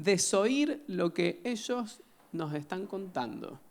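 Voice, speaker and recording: This man's voice sits high for a man and moves through very wide pitch swings. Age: 40s. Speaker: psychiatrist giving a conference talk. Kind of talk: lecture.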